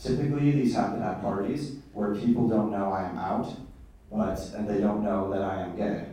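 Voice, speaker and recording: There is noticeable background noise and audible room echo as a man talks at a moderate pace, with a fairly low pitch and ordinary pitch variation. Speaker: university student. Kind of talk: panel talk.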